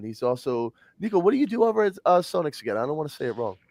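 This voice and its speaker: In an American accent, the speaker talks at a very fast pace with very wide pitch swings. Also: man. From US Northeast. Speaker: livestream host. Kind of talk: casual chat. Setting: live stream. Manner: animated.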